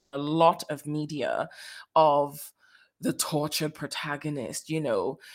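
Female speech, very clean recording, silent background. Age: 20s. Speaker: actor, writer and voiceover artist hosting a podcast. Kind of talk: casual solo monologue.

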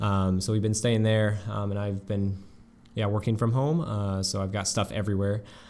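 Here a man with an unremarkable speaking voice talks at a fairly low pitch and a moderate pace, his intonation fairly even. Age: 20s. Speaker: homeschool graduate. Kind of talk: casual chat. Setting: shared room, one mic passed around.

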